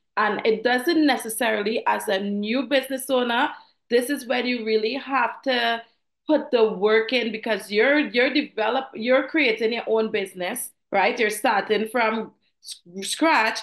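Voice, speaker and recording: A woman in a Trinidadian accent, fairly high-pitched with ordinary pitch variation, at a fairly slow pace. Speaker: financial professional, former flight attendant. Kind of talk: interview.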